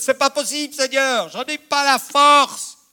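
In a raised, projected voice, a man speaks with an animated, bright, sharp tone, the sound dry and close with no echo. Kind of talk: sermon. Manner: animated, emphatic preacher with repeated phrases and direct appeals to the congregation.

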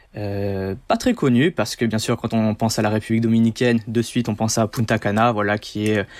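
Monotone, flat intonation from a man at a moderate pace and medium pitch. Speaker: diving instructor. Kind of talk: interview.

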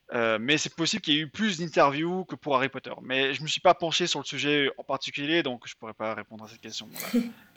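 A man's fairly high voice, very fast and with lively intonation. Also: hardly any pauses, big swings in loudness. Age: 20s. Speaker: writer and video game journalist. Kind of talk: casual interview.

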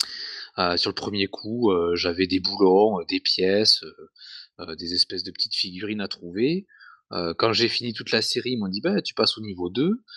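The delivery is fairly slow with long, frequent pauses, a bright, sharp tone and ordinary pitch variation, in a dry, close sound with no echo and a quiet background. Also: man, fairly low pitch for a man. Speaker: podcast co-host. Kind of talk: casual chat.

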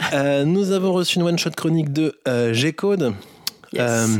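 Noticeable background noise is heard while a man talks, his pitch varying in an ordinary way. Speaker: podcast co-host. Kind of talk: casual chat.

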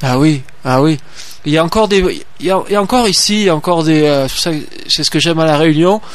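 This man has a high pitch and ordinary pitch variation. His pace is moderate. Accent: slight Marseille. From Marseille, southern France. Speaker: farmer and association president. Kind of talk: radio interview. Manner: halting.

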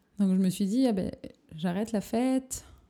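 A woman speaks at a moderate pace and medium pitch, with ordinary pitch variation. Her tone is dark and mellow, and somewhat breathy. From southern France, Perpignan. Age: 20s. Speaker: photographer. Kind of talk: casual interview. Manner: hesitant, many fillers.

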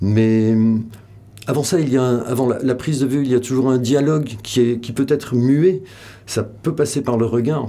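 A man's dark, mellow voice at medium pitch, fairly slow, with ordinary pitch variation. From French Basque Country. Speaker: photographer. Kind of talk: interview. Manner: halting, many repetitions and hesitations.

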